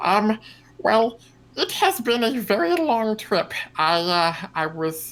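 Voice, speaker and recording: A man's put-on character voice, high in pitch. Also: fairly slow pace. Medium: actual play. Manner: halting, simple, formal speech without contractions.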